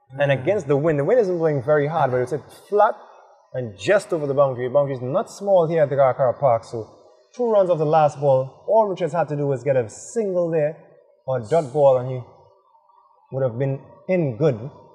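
This man speaks at a fairly high pitch, with an animated tone and lively intonation. He leaves long, frequent pauses while music plays in the background. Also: fairly quick pace. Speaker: cricket commentator. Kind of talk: live sports commentary. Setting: outdoors at cricket ground. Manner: animated, quick play-by-play.

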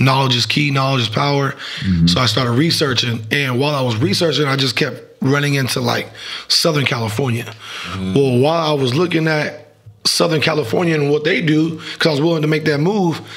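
Speaking at a fairly quick pace, a man keeps ordinary pitch variation. His loudness stays very even. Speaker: podcast guest, youth football coach. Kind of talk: interview answer. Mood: relaxed, laughing at times. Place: studio. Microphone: studio mic.

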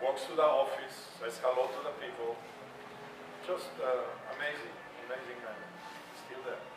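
Amid noticeable background noise and audible room echo, a man talks at a moderate pace. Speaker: panelist. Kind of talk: panel storytelling. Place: hall.

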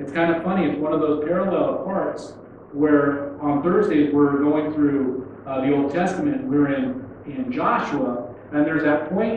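Over light background noise and strong room echo, a man speaks at a fairly slow pace with ordinary pitch variation. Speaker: pastor. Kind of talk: sermon. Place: church.

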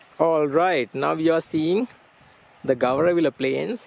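A man at a fairly slow pace, dry sound with no echo. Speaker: travel vlogger. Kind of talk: travel vlog narration. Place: open country.

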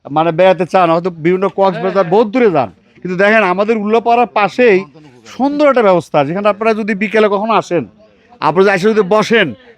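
Noticeable background noise behind ordinary pitch variation. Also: man, high pitch for a man. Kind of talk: vlog walking tour narration. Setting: outdoors, walking through a village.

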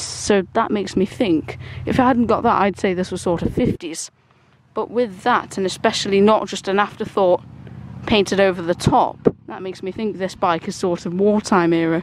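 A woman at a moderate pace with ordinary pitch variation, in a dry sound with no echo and noticeable background noise. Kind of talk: tutorial walk-around commentary. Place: garden.

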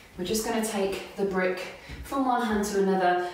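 Strong room echo and light background noise surround a woman's voice. Her pitch is medium, with ordinary variation. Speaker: yoga instructor. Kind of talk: guided yoga workout instruction. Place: home room. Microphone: camera far.

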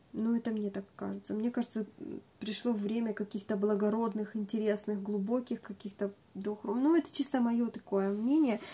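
A woman speaks at a moderate pace with a fairly high pitch. Her tone is dark, mellow and somewhat breathy. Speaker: beauty video blogger. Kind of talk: casual talk to camera, decluttering review. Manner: animated, repetitive.

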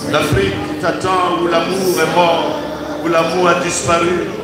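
A man speaks with audible room echo and loud background noise. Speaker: priest leading prayer. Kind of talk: spontaneous public prayer. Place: church. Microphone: handheld.

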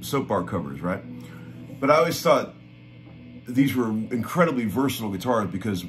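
A man is speaking with clear music in the background. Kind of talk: casual vlog chat. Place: home room. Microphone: phone near.

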